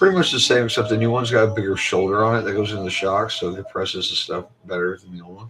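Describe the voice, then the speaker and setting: Against noticeable background noise, a man at medium pitch talks very fast, hardly pausing. His loudness swings a lot. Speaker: RC hobbyist YouTuber. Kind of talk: tutorial. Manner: casual.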